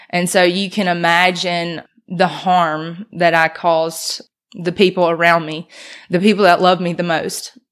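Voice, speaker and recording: With a Mississippi accent, a woman speaks at a fairly slow pace, her fairly low pitch flat and monotone. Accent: Southern US (Mississippi). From US South, Mississippi (Brandon). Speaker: recovering addict sharing faith story. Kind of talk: testimony.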